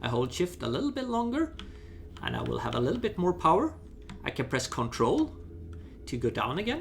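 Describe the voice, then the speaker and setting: A man at a fairly quick pace with long, frequent pauses, over noticeable background noise. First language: not English. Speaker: gaming YouTuber. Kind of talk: gameplay tutorial. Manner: halting, with fillers and false starts.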